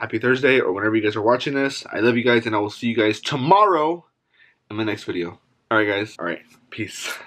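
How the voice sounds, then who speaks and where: The speech moves at a very fast pace. Its pitch variation is ordinary. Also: man. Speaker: food vlogger. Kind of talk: casual vlog chat. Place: home room. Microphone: phone near.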